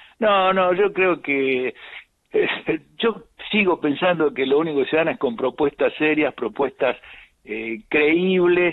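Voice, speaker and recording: Very slow and broken by long, frequent pauses, a man's high-pitched voice has lively intonation. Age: 70s. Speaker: politician. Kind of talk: live radio interview.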